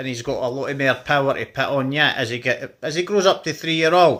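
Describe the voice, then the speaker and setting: Speaking with a Scottish accent, a man uses a fairly high pitch and a bright, sharp tone at a moderate pace. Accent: Scottish (Fife). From Scotland, Fife. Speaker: dog owner vlogger. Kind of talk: casual vlog talk.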